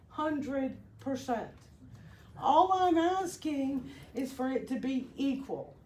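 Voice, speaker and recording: Speaking at a very slow pace, a woman with a high pitch uses lively intonation over audible room echo. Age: 60s. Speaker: concerned citizen speaking at public comment. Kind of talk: public comment at a county meeting. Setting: public meeting room with audience.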